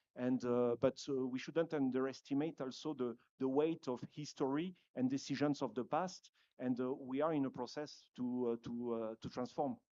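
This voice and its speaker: A man speaks with a French accent at medium pitch and a moderate pace. His tone is dark and mellow, his intonation fairly even. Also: dry, close sound with no echo. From France. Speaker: conference panelist, dairy company representative. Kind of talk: panel discussion. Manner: hesitant, many fillers.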